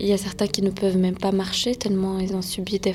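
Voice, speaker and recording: Noticeable background noise sits behind this woman's voice. She speaks in a calm tone at a medium pitch. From France. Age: 20s. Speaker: interpreter. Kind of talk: interview.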